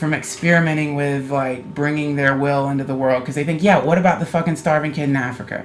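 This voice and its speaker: A man's ordinary pitch variation is heard against noticeable background noise. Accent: American. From US South, North Carolina. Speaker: comedian. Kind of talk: casual chat. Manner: animated.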